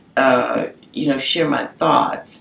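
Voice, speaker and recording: A woman speaks with noticeable background noise. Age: 40s. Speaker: cancer survivor. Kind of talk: testimony. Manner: halting, repeats words.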